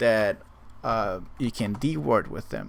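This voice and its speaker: On a very clean recording with a silent background, a man speaks with a non-native accent and ordinary pitch variation. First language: not English. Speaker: gaming guide creator. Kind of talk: tutorial. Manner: halting, with many fillers.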